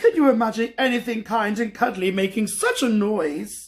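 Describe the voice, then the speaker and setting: The speaker uses a put-on character voice and keeps a moderate pace. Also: man, high pitch for a man. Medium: read story. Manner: self-assured, knowing.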